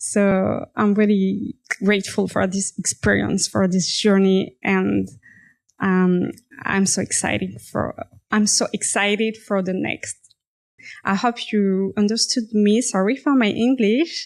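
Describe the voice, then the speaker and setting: A woman talks fairly slowly, her pitch medium and its variation ordinary. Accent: French. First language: French. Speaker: fashion designer. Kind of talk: personal story monologue. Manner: halting, self-correcting.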